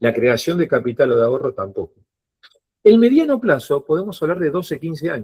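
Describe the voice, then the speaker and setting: This man has a dark, mellow tone that is somewhat breathy, with very wide pitch swings. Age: 50s. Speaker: financial advisor. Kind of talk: online workshop talk.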